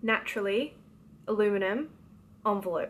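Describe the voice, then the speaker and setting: In an Australian accent, a woman speaks at a fairly high pitch. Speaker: novelist. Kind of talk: casual talk to camera. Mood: light, playful. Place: home room. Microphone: phone near.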